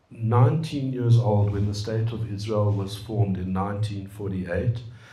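A man speaks at a very slow pace. Room echo is audible. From South Africa, Johannesburg. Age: 60s. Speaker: computer scientist and businessman. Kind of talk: personal talk and dialogue. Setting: room with live audience. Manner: hesitant with fillers. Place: meeting room. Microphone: handheld.

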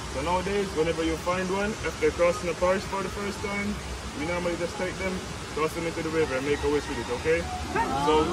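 Over loud background noise, a man speaks at a very fast pace. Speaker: tour guide. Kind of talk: guided tour explanation. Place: forest.

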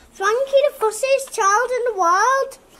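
A squeaky, put-on character voice from a woman, extremely high in pitch and fairly slow in pace. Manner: accusing, indignant.

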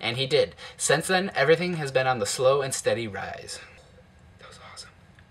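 A man speaks with an American accent at a fairly high pitch. His intonation is lively. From Ohio, Toledo; Ohio. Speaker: YouTuber. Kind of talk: personal narration. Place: home room. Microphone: webcam.

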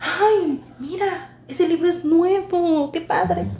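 A woman speaks with audible room echo around her. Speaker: comedy sketch actor. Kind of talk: scripted sketch dialogue. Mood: playful, comedic. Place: shop.

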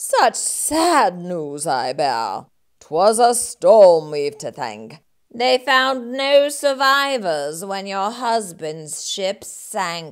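In a put-on character voice, a female-sounding speaker talks very slowly at a middle pitch with very wide pitch swings. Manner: sly, oily, scheming.

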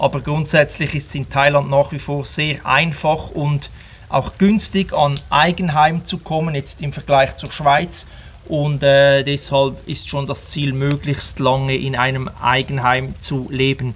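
A man with a fairly high pitch and a very slow pace. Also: fairly even intonation. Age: 40s. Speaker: travel vlogger. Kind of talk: casual vlog monologue. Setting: outdoors at home in the rain. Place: garden. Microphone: phone near.

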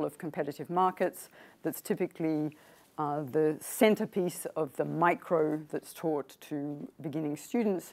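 A woman's very deep, low voice at a moderate pace, with ordinary pitch variation. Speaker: presenter. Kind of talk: lecture. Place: meeting room.

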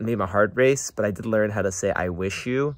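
Fairly low in pitch, a man talks at a moderate pace with ordinary pitch variation and a calm tone. The recording is very clean, with a silent background. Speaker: vlogger working abroad in Uzbekistan. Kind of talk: personal video diary. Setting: outdoors by a garden. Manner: calm, reflective.

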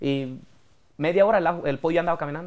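Ordinary pitch variation is heard against a quiet background. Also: man. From Mexico, Michoacán (Apatzingán, rural); Michoacán, Mexico. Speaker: regional Mexican singer; interview guest. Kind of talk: interview. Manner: casual, colloquial. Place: studio. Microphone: lapel.

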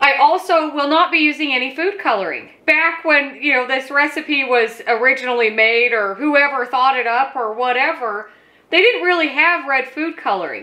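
At a moderate pace and with hardly any pauses, a woman speaks in a raised, projected voice with a bright, sharp tone. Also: ordinary pitch variation. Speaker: home cooking host. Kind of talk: tutorial. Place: kitchen.

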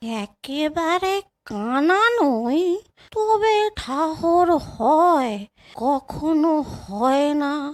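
Putting on a character voice, a woman speaks very slowly at a high pitch. Her pitch swings very widely. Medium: read story. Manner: plaintive, rustic.

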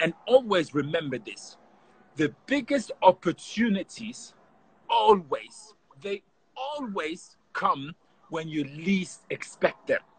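A man speaks very slowly at a high pitch, with very wide pitch swings and big swings in loudness, in a dry sound with no echo. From Germany. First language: German. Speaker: professional footballer; guest. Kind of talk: casual interview. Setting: video call. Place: garden. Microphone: video call.

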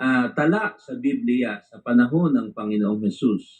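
At a fairly slow pace, the voice moves through very wide pitch swings. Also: man. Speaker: preacher. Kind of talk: sermon. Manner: formal; earnest, preaching.

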